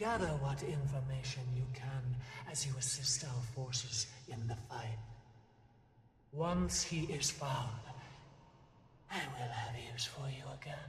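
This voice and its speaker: A put-on character voice sits at a low-to-middle pitch, with long, frequent pauses. A clear echo is heard. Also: fairly slow pace. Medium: video game. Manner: measured, commanding.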